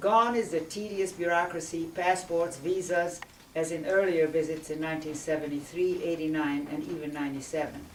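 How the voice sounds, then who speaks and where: A woman with a Hungarian accent speaks at a fairly low pitch, with noticeable background noise and audible room echo. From Hungary, emigrated to Indiana at eleven. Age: 70s. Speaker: memoir author. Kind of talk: reading aloud.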